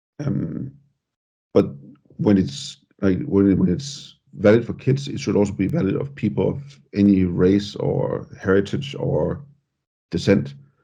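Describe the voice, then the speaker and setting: A man with a Danish accent speaks at a fairly slow pace in a fairly low, somewhat breathy voice. His tone is dark and mellow, and his pitch swings very widely. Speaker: podcast host. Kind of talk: podcast interview.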